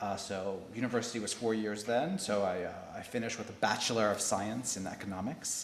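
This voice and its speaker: A man with an American accent speaks in a fairly low pitch with fairly even intonation, at a fairly quick pace with hardly any pauses. There is audible room echo and noticeable background noise. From United States. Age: 40s. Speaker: corporate learning director. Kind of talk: interview.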